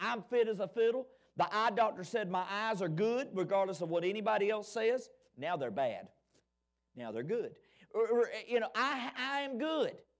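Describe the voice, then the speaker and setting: A man with an Alabama accent speaks at a moderate pace in a high pitch, his tone animated. His pitch varies in an ordinary way, and the recording is very clean with a silent background. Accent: Southern US (Alabama). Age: 40s. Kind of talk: Sunday school lesson. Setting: church.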